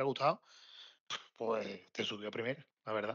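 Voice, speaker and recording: A man with an unremarkable speaking voice at a moderate pace, with ordinary pitch variation and a quiet background. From Cádiz, Spain. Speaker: football fan guest. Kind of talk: casual chat.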